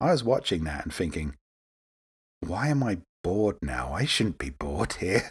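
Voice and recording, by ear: A man speaks at a fairly slow pace in a low pitch, with a husky, rough edge. His pitch swings big.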